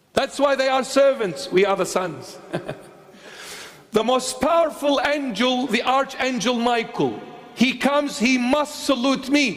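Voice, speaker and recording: A man with an extremely high pitch talks at a fairly slow pace with ordinary pitch variation, and noticeable background noise is present. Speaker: bishop, preacher. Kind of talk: sermon delivered to a congregation.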